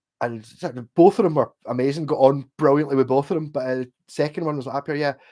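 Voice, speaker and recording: A man with a Glasgow accent speaks very fast in a fairly high pitch, his tone dark and mellow, his intonation fairly even, on a very clean recording with a silent background. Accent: posh Glasgow. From Scotland, Glasgow. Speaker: livestreamer and guitarist. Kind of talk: casual chat. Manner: clearer than his friends.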